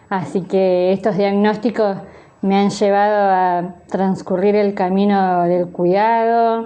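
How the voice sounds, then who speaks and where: A woman's medium-pitched, monotone voice at a very slow pace, with very even loudness and flat intonation amid audible room echo. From Argentina, Buenos Aires province (San Isidro). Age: 30s. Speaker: sign language interpreter and teacher. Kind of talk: interview.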